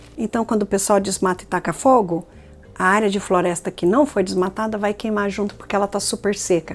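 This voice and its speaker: Over music in the background, a woman with a medium pitch speaks at a fairly quick pace with fairly even intonation. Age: 60s. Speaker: climate scientist. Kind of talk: documentary interview.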